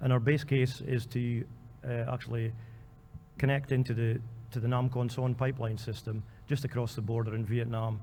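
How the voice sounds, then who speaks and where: A Scottish-accented man speaks at a medium pitch and moderate pace in a dark, mellow, somewhat breathy tone. His intonation is monotone and flat, and the room echo is audible. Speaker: oil company country manager. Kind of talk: conference panel talk. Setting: convention hall panel. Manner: hesitant, many fillers.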